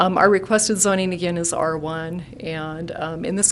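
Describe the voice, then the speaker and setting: A woman with fairly even intonation and a fairly low pitch keeps a moderate pace while noticeable background noise runs behind her. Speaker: engineering consultant representing an applicant. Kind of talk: public hearing presentation. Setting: city council meeting chamber. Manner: hesitant, many fillers.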